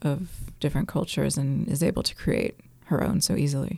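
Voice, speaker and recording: Vocal fry runs through a woman's very deep, low-pitched voice as she keeps her intonation fairly even. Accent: American. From US (New York, California). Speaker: anarchist group member, podcast co-host. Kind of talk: casual discussion.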